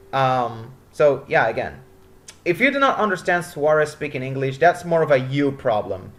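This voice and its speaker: A man at a moderate pace, fairly high in pitch, with ordinary pitch variation. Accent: Spanish. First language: Spanish. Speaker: motorsport commentator. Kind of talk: casual commentary.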